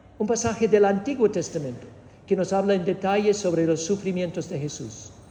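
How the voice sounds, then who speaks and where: A man speaks in a high voice with a Spanish accent. His pitch variation is ordinary. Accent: Spanish of Spain. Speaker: preacher teaching doctrine. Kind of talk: doctrinal teaching sermon. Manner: engages audience with questions; hesitant, with fillers and repetitions.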